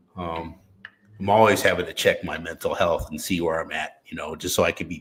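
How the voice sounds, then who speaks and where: A man speaking at a moderate pace. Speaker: podcast host. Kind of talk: interview.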